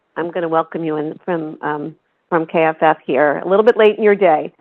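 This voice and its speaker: At a moderate pace, a woman with an American accent and an ordinary speaking voice talks at a fairly low pitch with ordinary pitch variation. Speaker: health policy expert. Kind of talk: lecture. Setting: conference room with audience.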